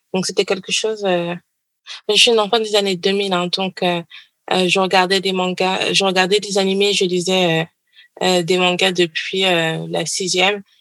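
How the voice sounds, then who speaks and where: A woman talks at a medium pitch and a fairly slow pace. Her intonation is monotone and flat, and her loudness stays very even. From Paris suburbs, France. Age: 20s. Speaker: doctoral student. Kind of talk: interview.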